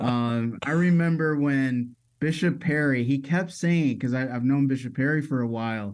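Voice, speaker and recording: Here is a man with an ordinary speaking voice and an American accent, pitched in the medium range. The recording is very clean, with a silent background. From Metro Detroit, Michigan. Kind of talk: casual interview.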